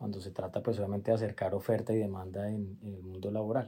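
A man's dark, mellow voice moves along at a moderate pace. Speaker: law firm partner and podcast host. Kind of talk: interview conversation. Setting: at guest's home. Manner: halting, with repeated words and fillers.

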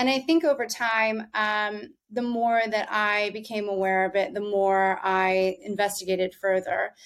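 In an American accent and an ordinary speaking voice, a woman talks at a fairly slow pace with hardly any pauses, a medium pitch and ordinary pitch variation, on a very clean recording with a silent background. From US South. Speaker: wellness company founder. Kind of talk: casual interview.

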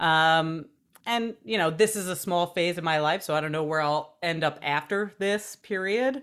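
In a plain, everyday voice, a woman speaks at a moderate pace and a fairly low pitch with ordinary pitch variation. The recording is very clean, with a silent background. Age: 30s. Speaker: former TV news journalist, health and wellness expert. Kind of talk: casual chat.

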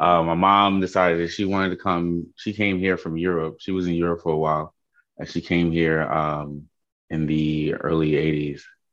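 A man with a New York accent speaks at a very deep, low pitch. His pace is moderate and the background quiet. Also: fairly even intonation. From Queens, New York. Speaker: interviewee. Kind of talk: interview.

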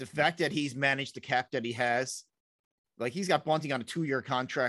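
This man has a Newfoundland accent and a medium pitch, and his intonation stays fairly even. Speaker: podcast co-host. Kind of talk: casual chat.

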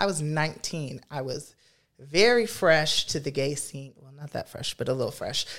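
With an American accent, a woman speaks at a moderate pace in a very deep, low pitch, her intonation lively and her loudness swinging widely. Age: 20s. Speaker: drag performer. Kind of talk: testimony.

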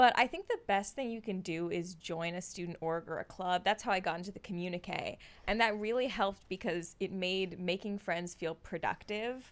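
Moderately paced and with hardly any pauses, a woman talks in a plain, everyday voice at medium pitch with ordinary pitch variation. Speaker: student opinion editor. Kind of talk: casual chat, advice conversation.

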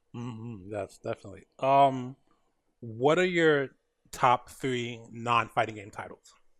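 A man with a plain, everyday voice speaks fairly slowly at a medium pitch, with ordinary pitch variation. His loudness swings widely. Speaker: podcast host. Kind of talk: casual interview. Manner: filler-heavy, casual.

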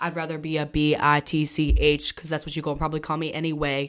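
Very deep and low in pitch, a woman with an American accent talks at a very fast pace in an animated tone on a very clean recording with a silent background. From Boston. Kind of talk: casual chat.

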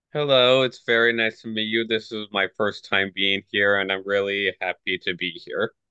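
A man with a plain, everyday voice speaks at a moderate pace and fairly low pitch, with fairly even intonation and hardly any pauses. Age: 20s. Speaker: meetup participant. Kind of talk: casual chat.

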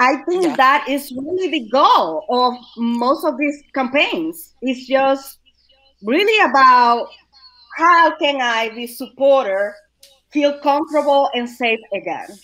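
A woman's raised, projected voice, high in pitch, at a very slow pace. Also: lively intonation. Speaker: suicide awareness educator. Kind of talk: casual panel discussion.

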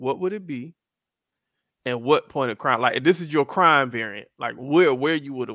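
Recorded very cleanly against a silent background, with a dry, close sound and no echo, a man in an American accent speaks at a moderate pace with a fairly high pitch, a bright, sharp tone and lively intonation. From South Florida (Miami, Fort Lauderdale). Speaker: podcast co-host. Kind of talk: casual chat. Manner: animated.

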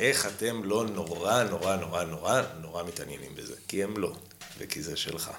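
Against noticeable background noise and audible room echo, a man speaks at a fairly low pitch and a moderate pace with ordinary pitch variation. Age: 30s. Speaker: history graduate student. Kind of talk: casual chat.

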